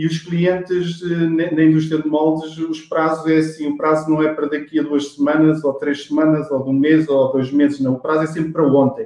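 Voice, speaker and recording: A man's dark, mellow voice, fairly high in pitch, at a moderate pace. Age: 40s. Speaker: sales executive. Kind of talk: interview. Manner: halting.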